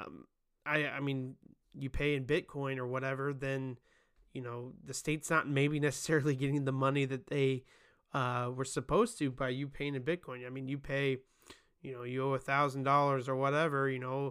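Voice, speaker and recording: Monotone, flat intonation carries words spoken at a moderate pace. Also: man, medium pitch for a man. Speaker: tech podcast host. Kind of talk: solo tech news commentary. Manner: casual with many fillers and restarts.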